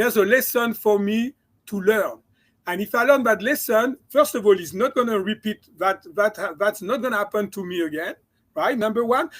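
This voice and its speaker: A man with a slight French accent and a high pitch, ordinary pitch variation and a moderate pace, on a very clean recording with a silent background. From France. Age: 60s. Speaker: chiropractor and mindset coach. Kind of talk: interview.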